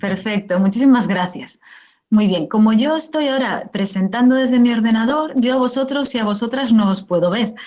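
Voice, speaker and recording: Somewhat breathy, a woman speaks at a moderate pace with a fairly high pitch. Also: ordinary pitch variation. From Spain. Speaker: professor, teacher trainer. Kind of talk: lecture.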